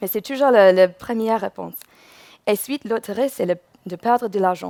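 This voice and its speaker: A woman with an English accent at a fairly quick pace. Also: medium pitch for a woman, ordinary pitch variation, dry, close sound with no echo. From England. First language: English (speaking French). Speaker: UX researcher. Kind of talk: conference talk. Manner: halting, with self-corrections.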